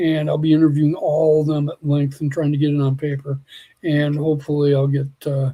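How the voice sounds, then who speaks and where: A man talks at a fairly quick pace in a fairly high pitch with monotone, flat intonation. His tone is dark and mellow, and somewhat breathy. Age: 60s. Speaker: biologist and Bigfoot field researcher. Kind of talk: podcast interview.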